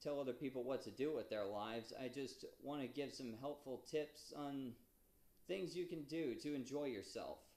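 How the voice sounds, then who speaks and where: Speaking at a very slow pace, a man has a fairly high pitch. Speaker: aspiring novelist. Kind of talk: casual talk to camera. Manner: stuttering.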